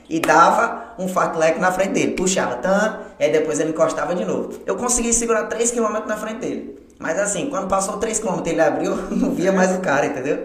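There is audible room echo and noticeable background noise as a man with a high pitch talks at a fairly quick pace. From Brazil, Porto Velho, Rondônia. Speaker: running coach and athlete. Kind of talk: casual chat.

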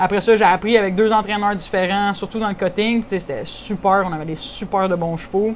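Over noticeable background noise, a woman talks at a fairly quick pace in a medium pitch with fairly even intonation. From Quebec, Saint-Hyacinthe region. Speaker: rancher and horse competitor. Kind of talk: interview.

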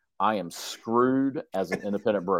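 A man speaks in an ordinary speaking voice, medium in pitch with ordinary pitch variation, at a moderate pace. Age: 40s. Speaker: real estate team leader. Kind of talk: interview.

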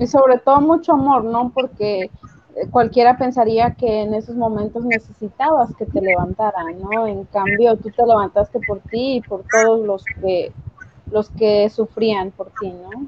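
Speaking at a fairly slow pace, a woman with a plain, everyday voice has a fairly high pitch and ordinary pitch variation. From Mexico. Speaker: podcast co-host. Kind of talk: casual chat.

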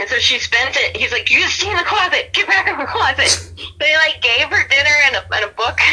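A woman with a slight Southern US accent, extremely high in pitch with very wide swings, at a fairly quick pace over noticeable background noise. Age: 30s. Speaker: podcast guest and Yankees fan. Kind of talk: casual chat. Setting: phone or video call.

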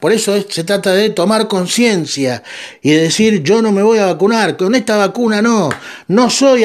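A man talks at a moderate pace. He has a Rioplatense accent. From Argentina. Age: 50s. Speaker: podcast host. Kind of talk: monologue commentary.

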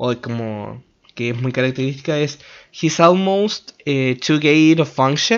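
At a fairly slow pace, a man in a Chilean accent makes very wide pitch swings. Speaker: solo podcaster reviewing films. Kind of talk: casual solo monologue. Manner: halting, with many repeated words. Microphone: microphone problems, may sound bad.

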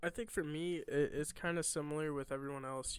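A man with a fairly high pitch and an American accent. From Illinois. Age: 20s. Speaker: air force member and podcast co-host. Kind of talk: casual chat.

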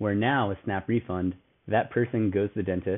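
Talking at a fairly quick pace, a man uses an unremarkable speaking voice, fairly low in pitch, with ordinary pitch variation. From St. Louis, Missouri. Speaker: fintech startup co-founder. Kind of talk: interview.

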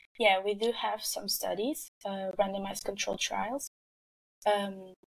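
A speaker with a Portuguese accent talks at a fairly slow pace with fairly even intonation. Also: woman. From Portugal. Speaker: nutrition researcher. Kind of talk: interview. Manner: halting.

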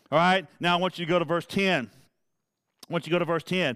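Speaking with a Southern US accent, a man talks at a fairly quick pace. His pitch is high and his intonation fairly even. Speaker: preacher. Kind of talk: sermon. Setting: church. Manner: fervent, emphatic, pulpit-style delivery with repetition; informal, conversational, addressing congregation by name.

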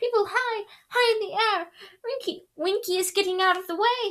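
A woman puts on a character voice, squeaky and extremely high in pitch. It sits at the very top of her range. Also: moderate pace. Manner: distracted, frightened.

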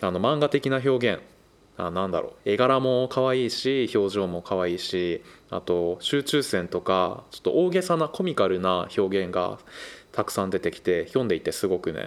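A man's plain, everyday voice, fairly slow with lively intonation, in a very clean recording over a silent background. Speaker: podcast host. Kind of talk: casual chat.

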